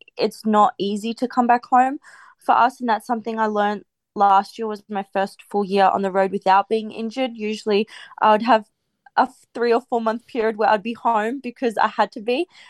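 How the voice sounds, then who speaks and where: Fairly even in intonation, a woman with an Australian accent speaks in a dry, close sound with no echo. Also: fairly quick pace. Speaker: professional tennis player. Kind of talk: interview.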